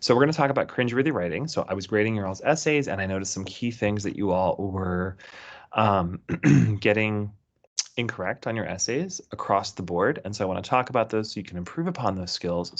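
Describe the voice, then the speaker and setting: A man uses a put-on character voice that is raspy and fairly low in pitch. He talks at a fairly quick pace against a quiet background. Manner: hushed, keeping voice low.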